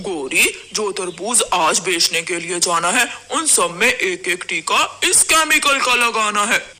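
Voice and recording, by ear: A man speaks in a cartoonish character voice, pitched high for a man. Light background noise sits underneath. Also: moderate pace.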